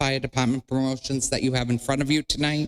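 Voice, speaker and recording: A man speaks with a normal speaking voice at a fairly high pitch. His pace is fairly quick, and the sound is dry and close with no echo. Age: 60s. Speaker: public commenter. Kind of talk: public comment speech.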